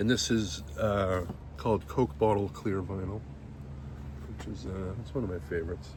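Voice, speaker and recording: With audible room echo, a mumbling man speaks at a very deep, low pitch and a moderate pace, his pitch variation ordinary, his loudness swinging widely, and his pauses long and frequent. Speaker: podcast host. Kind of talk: casual unboxing commentary. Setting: outdoors.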